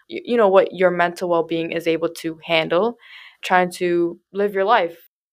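In a normal speaking voice, a woman talks at a moderate pace and a fairly low pitch with fairly even intonation. The recording is very clean, with a silent background. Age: young. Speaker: social media intern. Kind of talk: casual chat. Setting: in-person studio recording.

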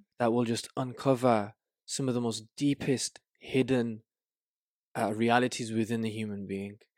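A man with a Birmingham accent speaks at medium pitch in a monotone, flat intonation. The sound is dry and close with no echo, in a very clean recording over a silent background. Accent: Birmingham English (Brummie). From Birmingham, England. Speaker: life coach. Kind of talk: casual interview chat. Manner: halting, repeats words.

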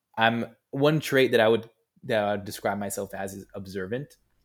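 On a very clean recording with a silent background, a man talks. He has an American accent and a fairly low pitch. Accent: plain American. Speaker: entrepreneur, founder of a youth initiative. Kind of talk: casual interview chat.

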